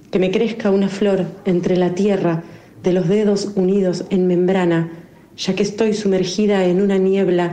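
A woman talks fairly slowly with a voice of medium pitch. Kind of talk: poetry reading aloud, intimate and mournful, of a poem about loss and being lost.

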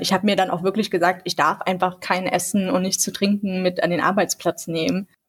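Somewhat breathy, a woman speaks at medium pitch and a fairly quick pace with fairly even intonation. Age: 20s. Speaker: law student and youth group leader. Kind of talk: casual podcast chat.

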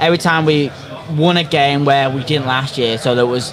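A man's fairly high voice at a moderate pace, fairly even in intonation, over noticeable background noise. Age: 20s. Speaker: football podcast co-host. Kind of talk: casual chat. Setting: pub, live stream.

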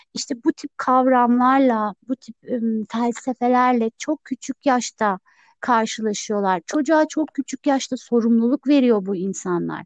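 A woman with a high pitch talks at a fairly slow pace with hardly any pauses and ordinary pitch variation, in a dry, close sound with no echo. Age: 30s. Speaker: salesperson and minimalism influencer. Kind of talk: casual chat.

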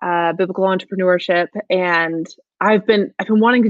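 Here is a woman with a plain, everyday voice at medium pitch. She speaks at a moderate pace with fairly even intonation. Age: 30s. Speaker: music school entrepreneur. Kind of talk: interview. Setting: studio.

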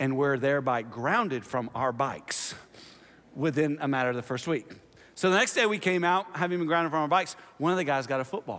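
With an American accent, a man uses a normal speaking voice, fairly high in pitch, with lively intonation at a fairly quick pace. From US South (Oklahoma and Tennessee). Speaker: pastor. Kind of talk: sermon. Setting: church.

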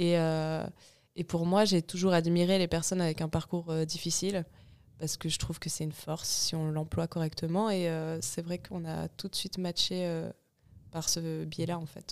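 A woman talks at a moderate pace with a fairly low pitch. Her intonation is monotone and flat. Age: 20s. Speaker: clothing company co-founder. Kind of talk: casual interview.

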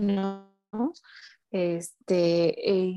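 A woman with a medium pitch talks while music plays in the background. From Mexico, Puebla. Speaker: psychologist and entrepreneur, football fan. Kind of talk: casual interview.

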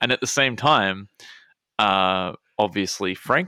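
Recorded very cleanly against a silent background with a dry, close sound and no echo, a man with an Australian accent talks fairly slowly at a fairly low pitch in a bright, sharp tone. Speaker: podcast co-host, plays a character. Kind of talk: casual chat.

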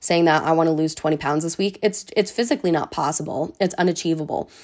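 A woman speaks at a fairly low pitch with ordinary pitch variation. She has an ordinary speaking voice. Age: 20s. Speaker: fitness podcast host. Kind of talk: solo podcast monologue.

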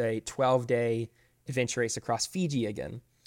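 A man with an American accent and a normal speaking voice talks at a fairly quick pace, with medium pitch, ordinary pitch variation and a dry, close sound with no echo. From Florida. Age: 20s. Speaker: ultra runner and adventure racer. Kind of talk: casual interview.

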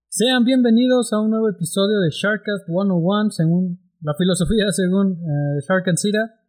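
With hardly any pauses, a man speaks at a fairly slow pace in a high pitch, his pitch varying in an ordinary way. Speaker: podcast host. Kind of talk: casual chat.

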